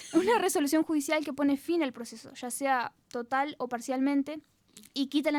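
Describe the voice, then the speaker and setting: A woman speaks in a high pitch with fairly even intonation. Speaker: law student radio presenter. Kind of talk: explanatory legal presentation. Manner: fast.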